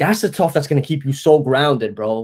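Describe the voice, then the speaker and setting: An ordinary speaking voice, a man with an American accent, fairly quick pace and lively intonation. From New Jersey (North Jersey). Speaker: marketing agency owner. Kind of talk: casual chat.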